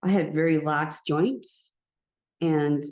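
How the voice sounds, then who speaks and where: A woman speaks in a dark, mellow tone, fairly low in pitch with fairly even intonation. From Canada. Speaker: shamanic healer, speaker. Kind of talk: personal testimony talk. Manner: sometimes unsure of own pitch; halting, with fillers.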